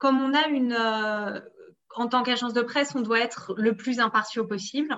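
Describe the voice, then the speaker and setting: A woman's unremarkable speaking voice, fairly high in pitch, with ordinary pitch variation at a moderate pace. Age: 30s. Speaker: sports journalist. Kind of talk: interview.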